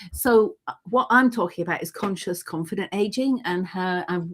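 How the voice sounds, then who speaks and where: A plain, everyday voice from a woman, medium in pitch, moderately paced, with ordinary pitch variation. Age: 60s. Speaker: writer and gathering presenter. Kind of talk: casual chat.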